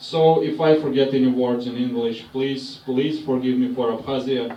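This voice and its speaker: Speaking with a Russian accent in a flat monotone, a man keeps a moderate pace amid noticeable background noise and audible room echo. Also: medium pitch for a man. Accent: Russian accent, non-native English. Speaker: stand-up comedian. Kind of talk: stand-up. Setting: stage with audience.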